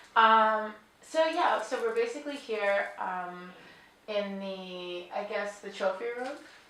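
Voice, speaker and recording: In an American accent, a woman speaks at a very slow pace and a medium pitch, with ordinary pitch variation and big swings in loudness. The room echo is audible, and background noise is noticeable. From New York. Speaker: interviewer. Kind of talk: casual interview. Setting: crystal company showroom near Glasgow. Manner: hesitant, many fillers.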